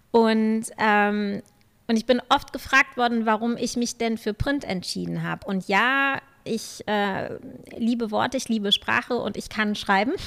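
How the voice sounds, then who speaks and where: The woman has a plain, everyday voice, fairly high in pitch, speaking fairly slowly with fairly even intonation. The recording is very clean, with a silent background. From Germany. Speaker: journalist. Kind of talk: interview.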